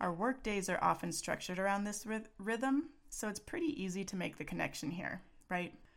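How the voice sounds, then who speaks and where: A woman with an American accent and a normal speaking voice, medium in pitch with lively intonation, at a fairly quick pace. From Texas. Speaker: parenting coach and podcast host. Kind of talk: solo podcast monologue.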